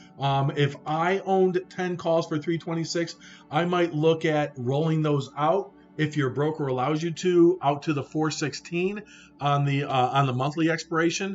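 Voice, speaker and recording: Over background music, a man speaks with an energetic tone at a fairly high pitch. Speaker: stock trading livestreamer. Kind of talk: live market commentary. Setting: live stream. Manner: fast.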